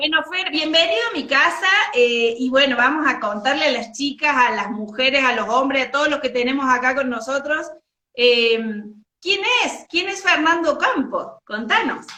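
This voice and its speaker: A woman speaks in a high, raised, projected voice with lively intonation. Her moderate pace carries audible room echo. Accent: Argentine. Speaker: interview host. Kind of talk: casual interview chat.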